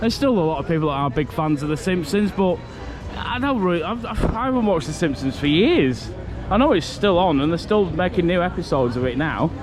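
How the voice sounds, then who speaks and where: A man talks at a very fast pace with a Lancashire accent, a high pitch and lively intonation. Music plays in the background, and the room echo is audible. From northern England, Morecambe, Lancashire. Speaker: theme park vlogger. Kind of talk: casual vlog commentary. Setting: outdoors at a theme park. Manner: animated.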